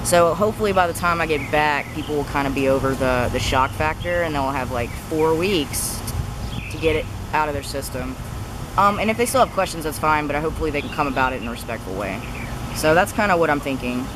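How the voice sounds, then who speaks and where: A man talks at a very fast pace with lively intonation and a fairly high pitch. Noticeable background noise and audible room echo are present. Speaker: vlogger. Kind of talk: casual vlog update. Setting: outdoors in backyard. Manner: hesitant, many fillers.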